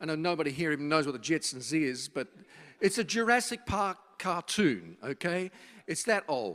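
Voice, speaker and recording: A speaker with an Australian accent talks at a moderate pace with lively intonation. The recording is very clean, with a silent background. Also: man, fairly high pitch for a man. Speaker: social futurist, speaker. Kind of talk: public talk to students. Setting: university event with live audience.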